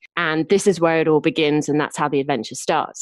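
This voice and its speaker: A woman speaks with an English accent in a dry, close sound with no echo. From Lincolnshire, England. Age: 30s. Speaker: novelist. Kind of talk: casual interview.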